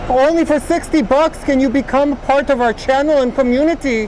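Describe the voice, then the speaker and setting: A female-sounding, high, robotic put-on character voice speaks at a moderate pace over clear background noise. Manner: flat, robotic.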